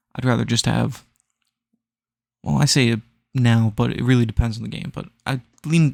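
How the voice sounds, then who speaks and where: Quiet and medium-pitched, a man's voice comes through dry and close with no echo. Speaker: gaming podcaster. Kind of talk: casual chat. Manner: hushed.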